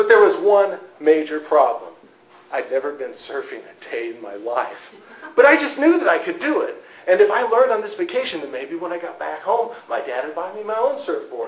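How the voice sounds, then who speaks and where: Fairly quick speech in an American accent with big swings in loudness over noticeable background noise. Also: man. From Southern California. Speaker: Toastmasters club speaker. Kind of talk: humorous storytelling speech to an audience.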